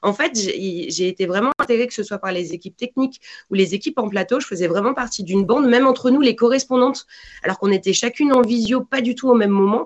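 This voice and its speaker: Speaking at a very fast pace, a woman uses lively intonation and a fairly high pitch. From France. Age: 40s. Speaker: football commentator. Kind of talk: casual interview.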